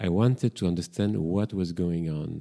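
Dark and mellow in tone, the voice moves at a moderate pace with ordinary pitch variation and a French accent. The recording is very clean, with a silent background. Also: man. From Brussels, Belgium. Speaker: psychotherapist and podcast host. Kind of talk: solo podcast introduction, casual monologue. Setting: home kitchen with microphone. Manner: slightly hesitant, reflective.

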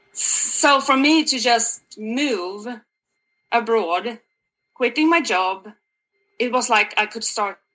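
A woman with a Swedish accent speaks at a very slow pace, leaving long, frequent pauses. Her tone is bright and sharp, her pitch fairly high with ordinary variation. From Sweden. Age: 40s. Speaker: health coach. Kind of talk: interview.

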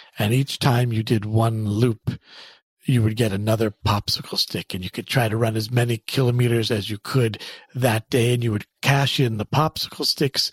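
A somewhat breathy man speaks at a medium pitch and moderate pace. His intonation is fairly even, and the sound is dry and close with no echo. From Canada. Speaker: clinical psychologist. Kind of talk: interview. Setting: office.

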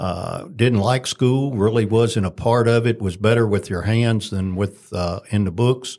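A man with a Kentucky accent talks at a moderate pace and a fairly low pitch on a very clean recording with a silent background. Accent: Kentucky Southern US. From Kentucky, Franklin County. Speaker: school board member. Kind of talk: interview.

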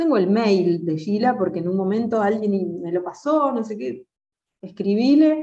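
A woman speaks at a medium pitch with very wide pitch swings and a dark, mellow tone. Her pace is fairly slow. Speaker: jazz singer. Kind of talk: interview. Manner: halting.

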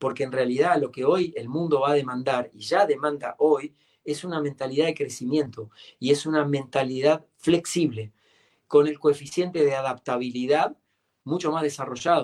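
An unremarkable speaking voice from a man, fairly high in pitch, with fairly even intonation, big swings in loudness and a moderate pace. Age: 50s. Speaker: coach and author. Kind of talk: interview. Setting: live stream.

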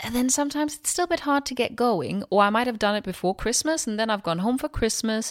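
A woman with a Danish accent, fairly high-pitched and lively in intonation, at a very fast pace with hardly any pauses, in a dry, close sound with no echo on a very clean recording with a silent background. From Denmark. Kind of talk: solo podcast monologue. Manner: casual, animated.

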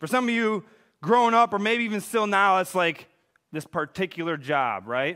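A man's high, bright, sharp voice, raised and projected, with lively intonation at a moderate pace on a very clean recording with a silent background. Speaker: pastor. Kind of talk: sermon. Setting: church. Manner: loud.

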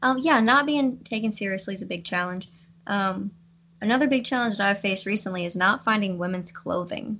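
With a Kentucky accent, a woman of medium pitch speaks at a fairly quick pace, her pitch varying in an ordinary way. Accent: Kentucky Southern US. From US South, western Kentucky. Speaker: hunter. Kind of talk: casual interview.

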